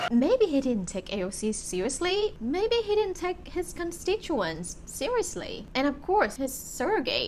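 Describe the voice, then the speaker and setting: Over noticeable background noise, a woman speaks at a fairly slow pace with very wide pitch swings. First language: Vietnamese. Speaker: YouTuber, documentary reviewer. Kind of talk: casual talk to camera.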